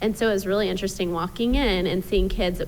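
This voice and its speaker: Amid noticeable background noise and audible room echo, a woman with an American accent talks very fast at a medium pitch. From United States. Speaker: parent. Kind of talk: casual interview.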